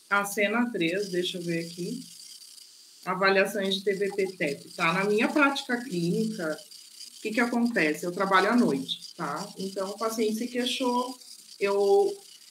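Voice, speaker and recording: At a fairly slow pace, a woman speaks with a medium pitch and ordinary pitch variation, with noticeable background noise behind her. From southern Brazil (Rio Grande do Sul). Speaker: nurse. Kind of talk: online course talk and Q&A.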